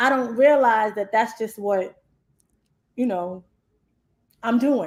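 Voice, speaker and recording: A woman at a very slow pace with fairly high pitch. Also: ordinary pitch variation. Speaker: talk show co-host. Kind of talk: casual chat. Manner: loud.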